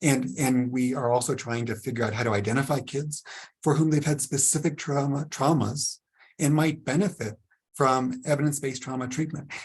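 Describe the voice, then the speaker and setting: Somewhat breathy, the voice moves at a fairly quick pace. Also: man, fairly high pitch for a man. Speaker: trauma researcher and clinician. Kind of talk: webinar presentation. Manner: animated, engaging.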